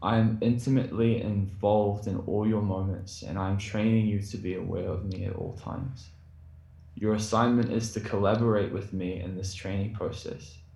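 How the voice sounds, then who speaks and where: Against noticeable background noise, the speaker talks at a moderate pace with fairly even intonation. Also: man, fairly low pitch for a man. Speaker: bar worker. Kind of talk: testimony. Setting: video call.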